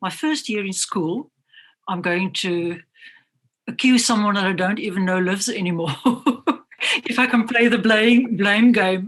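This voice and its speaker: A woman's voice is somewhat breathy. She speaks at a fairly slow pace. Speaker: artist. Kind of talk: interview. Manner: halting.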